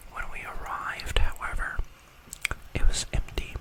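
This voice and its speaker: Whispered speech comes through over noticeable background noise. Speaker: ASMR creator. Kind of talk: ASMR creepypasta reading. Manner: soft-spoken, whispery, quiet.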